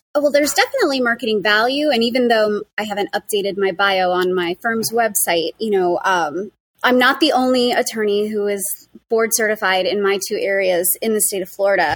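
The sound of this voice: A fairly quick pace with ordinary pitch variation. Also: woman, medium pitch for a woman.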